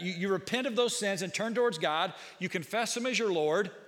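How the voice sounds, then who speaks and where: A man with a high-pitched voice speaks over audible room echo. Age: 40s. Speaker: pastor. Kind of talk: sermon.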